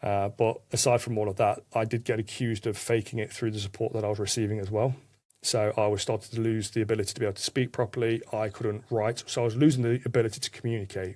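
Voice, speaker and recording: A man talks very fast at a medium pitch, somewhat breathy and in a monotone, flat delivery. The recording is very clean with a silent background. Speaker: podcast guest. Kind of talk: testimony.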